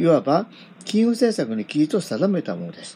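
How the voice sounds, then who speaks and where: With a dark, mellow tone, a man speaks at a moderate pace, his pitch swinging very widely. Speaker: podcaster reading newspaper articles aloud. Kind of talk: reading aloud; casual commentary. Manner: hesitant, many fillers.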